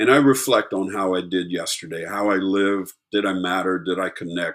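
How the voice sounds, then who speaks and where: With a General American accent, a man in a normal speaking voice talks at a moderate pace and a fairly low pitch. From US, Virginia Beach. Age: 60s. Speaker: life coach. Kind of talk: webinar presentation.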